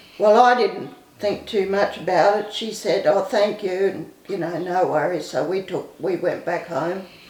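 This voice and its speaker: A woman of medium pitch talks at a fairly slow pace with an Australian accent and ordinary pitch variation. Noticeable background noise and audible room echo come through. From Queensland, Australia. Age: 70s. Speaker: recovered addict telling life story. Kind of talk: testimony. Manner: halting.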